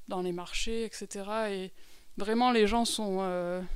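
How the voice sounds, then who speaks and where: A woman speaks at a medium pitch and a fairly slow pace. Her intonation is monotone and flat. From France (Lot-et-Garonne). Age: 30s. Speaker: humanitarian aid worker. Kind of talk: testimony. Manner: halting, many fillers.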